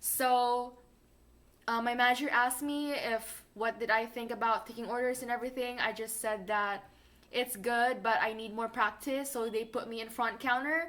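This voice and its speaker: A woman's fairly high, bright and sharp voice, fairly even in intonation, at a moderate pace. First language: not English. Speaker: fast food worker and vlogger. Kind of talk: casual vlog advice.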